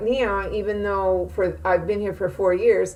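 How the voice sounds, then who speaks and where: A woman with an American accent speaks at a fairly slow pace in a medium pitch. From California. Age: 60s. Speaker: college instructor. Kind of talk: self-introduction video. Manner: hesitant, many fillers.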